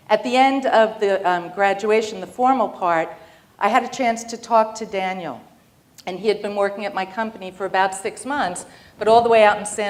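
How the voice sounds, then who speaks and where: With a New York accent, a woman talks at a moderate pace and with ordinary pitch variation. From New York, Long Island. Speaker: business executive. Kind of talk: keynote speech.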